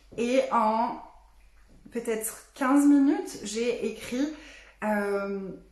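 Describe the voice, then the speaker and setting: A woman with ordinary pitch variation amid audible room echo and noticeable background noise. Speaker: business and energy coach. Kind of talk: facebook live talk. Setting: live stream. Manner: animated.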